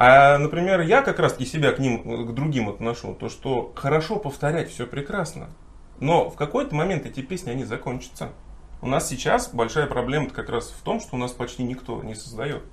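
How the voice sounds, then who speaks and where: At a moderate pace, the speech moves through ordinary pitch variation and big swings in loudness, with audible room echo. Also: man, fairly high pitch for a man. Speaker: folk singer and songwriter. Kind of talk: casual chat. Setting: hotel room.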